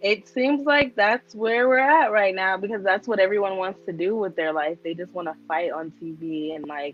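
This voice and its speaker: Speaking in an unremarkable voice at a medium pitch and moderate pace, a woman uses lively intonation and big swings in loudness, with hardly any pauses. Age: 20s. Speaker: reality show cast member. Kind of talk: casual interview.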